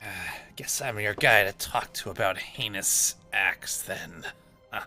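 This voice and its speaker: In a raspy, low-pitched, put-on character voice, the speaker goes at a fairly slow pace while faint music plays in the background. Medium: actual play. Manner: grumbling, sighing.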